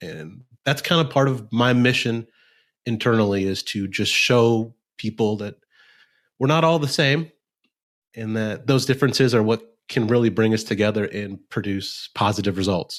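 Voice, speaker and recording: Ordinary pitch variation at a moderate pace, in a very clean recording with a silent background. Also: man, medium pitch for a man. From Nebraska, US Midwest. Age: 30s. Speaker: lawyer and bird dog trainer. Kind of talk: podcast interview.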